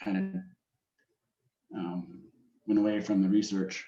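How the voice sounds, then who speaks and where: A man with an Upper Midwest accent talks at a moderate pace. His pitch is fairly low and his tone dark and mellow. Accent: Upper Midwest American. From Wisconsin, Green Bay. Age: 40s. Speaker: automation engineer, amateur forecaster. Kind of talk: presentation in meeting. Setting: call.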